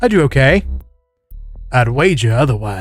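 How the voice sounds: Natural-sounding reading with a quiet backdrop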